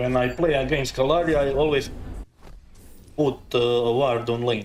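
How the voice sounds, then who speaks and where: At a moderate pace, a man talks at a medium pitch with fairly even intonation and very even loudness, with audible room echo around him. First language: not English. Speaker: gaming streamer. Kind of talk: live gameplay commentary. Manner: halting.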